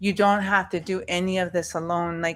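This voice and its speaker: A woman's unremarkable speaking voice, medium in pitch, with fairly even intonation and a fairly slow pace. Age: 40s. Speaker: webinar panelist. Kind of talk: webinar discussion.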